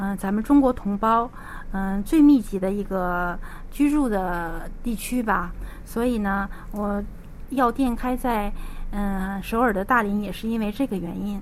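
With ordinary pitch variation, a woman at a medium pitch uses a normal speaking voice. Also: fairly slow pace. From Liaoning, northeast China. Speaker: pharmacist. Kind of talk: interview.

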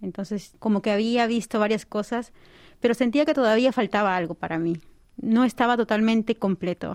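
Heard in a very clean recording with a silent background, a woman with a plain, everyday voice talks at a moderate pace and a fairly high pitch. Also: ordinary pitch variation, dry, close sound with no echo. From Peru, Lima. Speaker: doctoral student and nutritionist. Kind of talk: radio interview. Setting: studio.

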